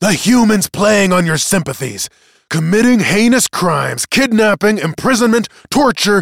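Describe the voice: A man's put-on character voice, high-pitched with big pitch swings and vocal fry, at a fairly slow pace, dry and close with no echo on a very clean recording with a silent background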